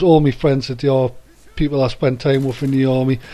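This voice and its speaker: A man with a Geordie accent speaks at a moderate pace in a fairly high, dark, mellow voice, his intonation monotone and flat. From northern England, Newcastle. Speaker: army veteran and gaming commentator. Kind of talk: casual video commentary. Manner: hesitant, many fillers.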